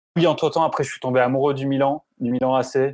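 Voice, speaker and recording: At a very fast pace, a man talks with a medium pitch and fairly even intonation. The sound is dry and close, with no echo. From France, Grenoble. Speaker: football reporter and former radio commentator. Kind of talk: casual interview.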